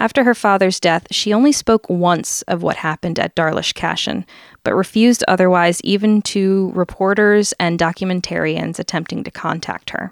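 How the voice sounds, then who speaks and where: At a moderate pace and medium pitch, a woman with a plain, everyday voice speaks with ordinary pitch variation and hardly any pauses, in a dry, close sound with no echo on a very clean recording with a silent background. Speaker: podcast co-host. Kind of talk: casual storytelling chat. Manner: playful, laughs often.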